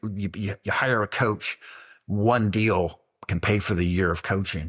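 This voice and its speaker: An unremarkable speaking voice from a man, fairly low-pitched at a moderate pace, on a very clean recording with a silent background. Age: 60s. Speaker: real estate coach. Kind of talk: interview.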